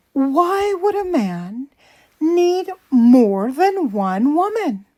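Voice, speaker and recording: A put-on character voice at a very slow pace, with very wide pitch swings. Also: woman, high pitch for a woman. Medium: read story.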